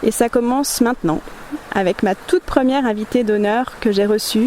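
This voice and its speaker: A woman's fairly high-pitched voice amid noticeable background noise. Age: 30s. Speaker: interviewer, photographer and artist. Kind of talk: scripted introduction. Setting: outdoors by a river.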